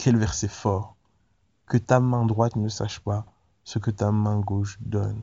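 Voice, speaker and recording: A man with a fairly low pitch talks at a very slow pace, leaving long, frequent pauses. His intonation is monotone and flat. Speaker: preacher. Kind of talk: devotional Bible teaching, preacher-style sermon. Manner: earnest, exhorting, direct appeals to the listener; casual, conversational, with hesitations.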